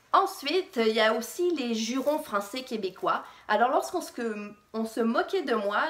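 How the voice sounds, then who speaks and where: Very slowly, a woman with a fairly high pitch speaks, her pitch swinging very widely. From France, childhood in Quebec. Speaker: fashion vlogger. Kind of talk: personal vlog story. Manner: casual, hesitant with fillers.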